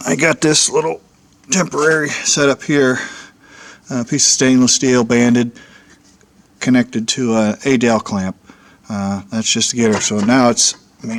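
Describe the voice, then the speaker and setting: Over noticeable background noise, a man with a medium pitch talks at a moderate pace, leaving long, frequent pauses. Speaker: homebuilt aircraft builder. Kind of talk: casual workshop vlog. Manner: halting, many fillers.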